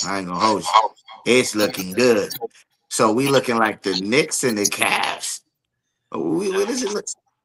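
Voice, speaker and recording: Pausing long and often, a man with an American accent talks at a moderate pace and medium pitch with ordinary pitch variation. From New Jersey (East Orange). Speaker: podcast guest. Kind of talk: casual chat. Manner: casual, some hesitations.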